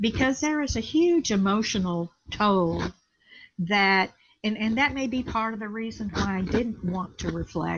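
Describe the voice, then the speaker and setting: A woman speaks at a moderate pace in a somewhat breathy voice with a fairly high pitch. The recording is very clean, with a silent background. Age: 70s. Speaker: community builder and college trustee. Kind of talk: reflective interview. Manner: reflective, thoughtful.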